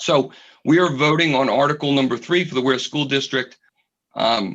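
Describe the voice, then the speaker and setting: Speaking at a moderate pace against a quiet background, a man with a fairly high pitch shows vocal fry and ordinary pitch variation. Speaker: committee chair. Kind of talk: public meeting. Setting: video call.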